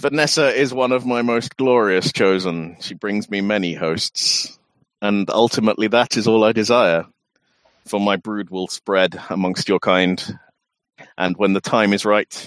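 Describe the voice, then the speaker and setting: Putting on a booming character voice, a man speaks at fairly low pitch and a moderate pace. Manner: grandiose, menacing, condescending.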